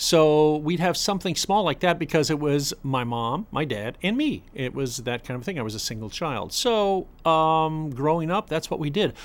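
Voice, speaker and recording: On a very clean recording with a silent background, a man with an American accent uses an ordinary speaking voice at a fairly high pitch, moving at a moderate pace with hardly any pauses. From South Florida. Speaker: parent of the host. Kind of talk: casual chat.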